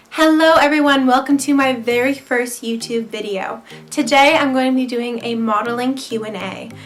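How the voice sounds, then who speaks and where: With music in the background and audible room echo, a woman with a high pitch talks with hardly any pauses and fairly even intonation. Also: moderate pace. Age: 18. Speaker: model and vlogger. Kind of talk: casual Q&A vlog.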